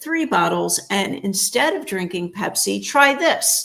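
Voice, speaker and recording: In an American accent, a woman at a medium pitch talks at a fairly slow pace with vocal fry. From United States. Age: 60s. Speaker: chiropractor and holistic health practitioner. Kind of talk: interview.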